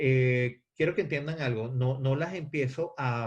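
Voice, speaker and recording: Somewhat breathy and medium in pitch, a man speaks at a fairly slow pace. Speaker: theatre actor and director teaching a class. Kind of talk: lecture. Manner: halting, many fillers and repetitions.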